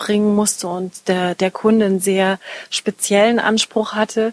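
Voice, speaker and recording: A woman talks at a moderate pace with monotone, flat intonation. The sound is dry and close, with no echo. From Munich, Bavaria. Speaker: master tailor and stylist. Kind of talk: interview. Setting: her studio.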